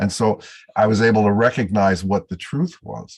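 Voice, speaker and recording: His voice has some breathiness. The speaker is a man. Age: 70s. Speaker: astrologer. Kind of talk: casual chat.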